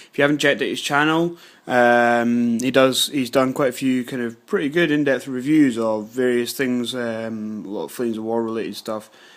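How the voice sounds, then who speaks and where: Moderately paced male speech with a British accent, medium pitch, fairly even intonation and hardly any pauses. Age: 20s. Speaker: scale modelling youtuber. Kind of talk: casual vlog. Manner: hesitant, many fillers.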